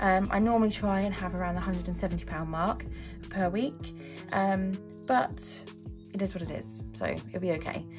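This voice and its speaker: Over background music, a woman speaks at a fairly slow pace. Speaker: budgeting vlogger. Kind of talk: casual vlog chat. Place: home room. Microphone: phone near.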